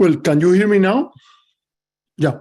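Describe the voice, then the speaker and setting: A man with a strong Cuban accent speaks in a dark, mellow tone with ordinary pitch variation. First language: Spanish. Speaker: political analyst. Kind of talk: panel talk. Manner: hesitant, many fillers.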